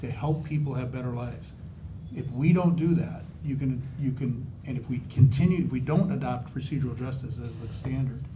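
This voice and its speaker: Here a man speaks at a moderate pace with a medium pitch. Room echo is audible. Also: ordinary pitch variation. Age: old. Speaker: judge running for supreme court. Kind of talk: candidate forum answer. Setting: in-person community forum. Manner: animated.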